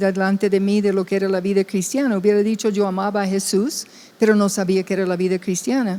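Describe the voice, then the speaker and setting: Here a woman speaks at medium pitch with a dark, mellow tone. Her pace is fairly quick. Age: 70s. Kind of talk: testimony in podcast chat.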